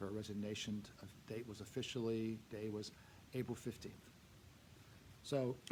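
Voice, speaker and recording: In a room with audible echo, a man with a fairly low pitch speaks in a monotone, flat intonation, leaving long, frequent pauses. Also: moderate pace. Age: 70s. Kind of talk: parish update talk to congregation. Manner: halting, many fillers.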